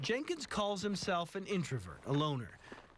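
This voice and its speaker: A man speaks at a moderate pace and a fairly high pitch. His pitch swings very widely over noticeable background noise. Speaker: TV news reporter. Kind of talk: TV news report narration.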